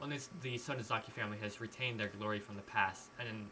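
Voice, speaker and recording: This man's voice sits at a medium pitch with fairly even intonation. Noticeable background noise runs underneath. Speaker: streamer. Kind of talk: reading aloud; casual chat. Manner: halting.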